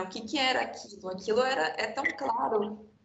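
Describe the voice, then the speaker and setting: A woman talks at a fairly quick pace. Audible room echo and light background noise surround her voice. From Brazil. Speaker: architect, panel moderator; panel moderator. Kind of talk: panel discussion. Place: home room. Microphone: video call.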